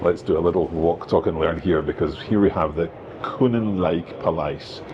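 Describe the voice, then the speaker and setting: With a Scottish accent, a man talks at a moderate pace with ordinary pitch variation over noticeable background noise. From Scotland. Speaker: language teacher and travel vlogger. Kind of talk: travel vlog narration. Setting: outdoors, walking in city streets. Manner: conversational, with hesitations.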